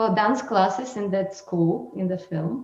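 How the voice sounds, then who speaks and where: A woman with a non-native accent at a very slow pace, in fairly even intonation, with music in the background. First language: not English. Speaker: dancer and choreographer. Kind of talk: webinar talk. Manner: halting.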